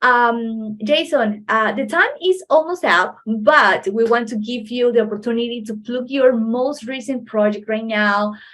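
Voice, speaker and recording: With hardly any pauses, a woman talks at a fairly slow pace in a fairly high voice with ordinary pitch variation. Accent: Spanish. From Ecuador, Manta. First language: Spanish. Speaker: podcast host. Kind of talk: podcast interview. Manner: halting.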